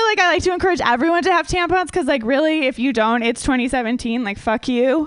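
There is noticeable background noise as a woman with an American accent speaks. Her pitch is high, her intonation lively and her pace fairly quick. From Minnesota. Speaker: stand-up comedian. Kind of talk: stand-up. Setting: stage with audience.

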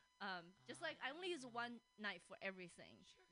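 A woman with a Chinese accent talks at a moderate pace in a bright, sharp tone. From China. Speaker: podcast host and comedian. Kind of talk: casual chat. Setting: studio.

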